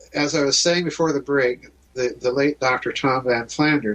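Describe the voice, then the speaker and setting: A man with an American accent and a fairly high pitch speaks against noticeable background noise. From US Midwest, South Dakota. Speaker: author and researcher. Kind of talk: interview on radio show.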